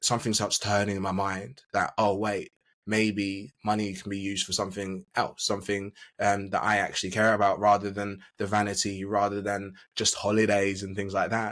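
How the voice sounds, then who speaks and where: A man with an Essex accent speaks in a fairly low, flat monotone at a moderate pace, recorded very cleanly against a silent background. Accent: southern English (Essex). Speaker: business coach. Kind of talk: podcast interview. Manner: hesitant, many fillers.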